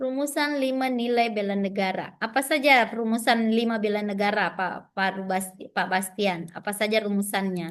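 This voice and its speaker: Over a quiet background, a woman talks with hardly any pauses and ordinary pitch variation. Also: fairly high pitch for a woman, moderate pace. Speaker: trainer for new civil servants. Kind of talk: online training session, quizzing participants. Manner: lively, interactive.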